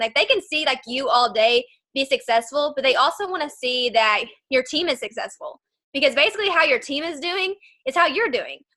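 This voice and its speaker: A woman projects a raised voice with a high pitch and lively intonation. Her tone comes across bright and sharp. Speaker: network marketing distributor. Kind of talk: video call interview. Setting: video call. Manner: fast; animated.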